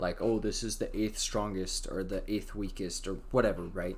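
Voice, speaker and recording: Speaking fairly quickly, a man is heard with audible room echo around his voice. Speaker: YouTuber discussing anime. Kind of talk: casual live stream talk. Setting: live stream. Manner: fast; filler-heavy, some stumbling.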